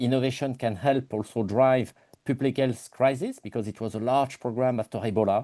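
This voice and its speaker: In a French accent, a man with medium pitch and a dark, mellow tone speaks at a fairly quick pace over a quiet background. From France. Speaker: engineer and innovation company director. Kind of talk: webinar self-introduction. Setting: online webinar.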